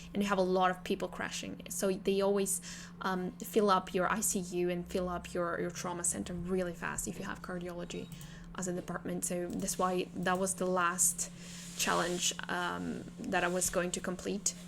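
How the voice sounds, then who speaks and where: With a non-native accent, a woman speaks in a flat monotone with vocal fry. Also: fairly low pitch for a woman, moderate pace. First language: not English. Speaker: game streamer. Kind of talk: gameplay live stream commentary. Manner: halting, many fillers and repeats.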